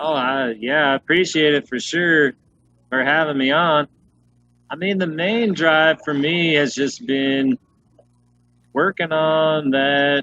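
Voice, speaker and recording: A man with an American accent talks at a fairly slow pace and fairly high pitch, with ordinary pitch variation. His tone is bright and sharp, and the sound is dry and close with no echo. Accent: noticeable regional US. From Utah, US. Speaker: head brewer. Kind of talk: casual interview chat. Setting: video call.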